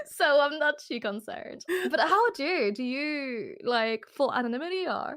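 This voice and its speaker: A woman speaks with a high pitch. Her pitch swings very widely over noticeable background noise. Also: moderate pace. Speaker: partnered streamer. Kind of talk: casual chat. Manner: soft-spoken.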